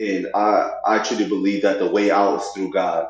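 Audible room echo surrounds a man who talks moderately fast in an American accent. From Oklahoma. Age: 30s. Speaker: clothing brand owner. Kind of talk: casual interview.

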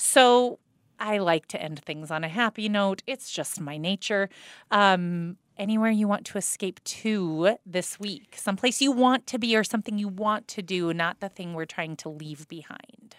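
In a plain, everyday voice, a woman talks at a moderate pace and medium pitch, with ordinary pitch variation and big swings in loudness, and the sound is dry and close with no echo. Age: 40s. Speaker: podcast co-host. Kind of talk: show intro and outro announcements; casual podcast chat. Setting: podcast studio.

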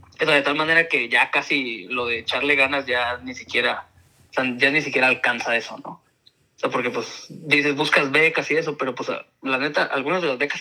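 A man with an ordinary speaking voice, pitched fairly high for a man, talks at a moderate pace. His loudness swings widely while his intonation stays fairly even. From Tijuana, Mexico. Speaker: university lecturer. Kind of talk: casual chat.

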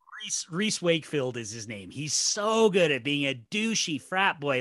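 A man with a bright, sharp tone and fairly high pitch makes very wide pitch swings against a quiet background. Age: 40s. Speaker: podcast guest, horror film podcaster. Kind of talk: casual chat. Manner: animated.

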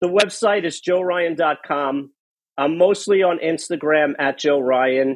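Speaking at a fairly slow pace, a man with a New York accent uses ordinary pitch variation. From New York City (Queens). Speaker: podcaster and recovery coach. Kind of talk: interview testimony. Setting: remote call.

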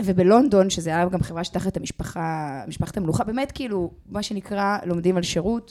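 At a moderate pace and medium pitch, a woman speaks with ordinary pitch variation and hardly any pauses. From grew up in many countries; Israeli-Australian. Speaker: company founder. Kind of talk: interview. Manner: halting, many fillers.

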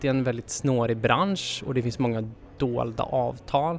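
This is a man with an ordinary speaking voice. His intonation is fairly even. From Sweden. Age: 20s. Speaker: development engineer. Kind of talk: interview.

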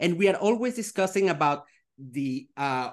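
In a quiet background, the words come at a fairly slow pace. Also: man. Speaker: podcast host. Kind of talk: interview. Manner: halting.

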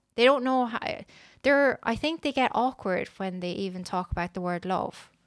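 A woman speaks at a moderate pace with an Irish accent. Her pitch varies in an ordinary way, and the recording is very clean with a silent background. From Ireland. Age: 30s. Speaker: podcast guest. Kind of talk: casual chat.

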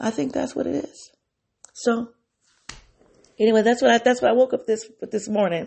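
Using vocal fry, a woman at a fairly high pitch speaks at a moderate pace with ordinary pitch variation and long, frequent pauses. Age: 50s. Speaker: podcast host. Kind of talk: personal reflection monologue. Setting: solo home recording. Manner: conversational, with self-corrections and fillers.

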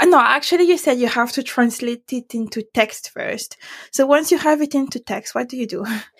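A woman with a French accent, high-pitched, at a fairly quick pace, with ordinary pitch variation and big swings in loudness. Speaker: podcast host. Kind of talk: interview.

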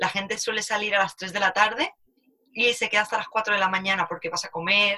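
Her voice is a normal speaking voice, medium in pitch, fairly even in intonation, and delivered by a woman at a fairly quick pace. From Spain, Alicante. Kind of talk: casual chat.

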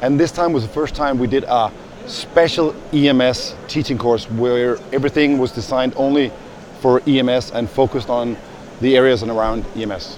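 The speaker has a Danish accent and talks at a moderate pace with fairly even intonation. Noticeable background noise is present. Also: man, medium pitch for a man. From Denmark. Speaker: paramedic educator. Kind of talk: interview. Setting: conference venue.

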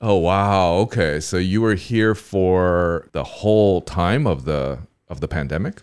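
Over a silent background in a very clean recording, a man speaks with a playful tone at a fairly slow pace, his very deep, low voice showing ordinary pitch variation. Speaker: podcast host. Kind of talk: casual conversational interview. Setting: studio. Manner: playful, laughs often.

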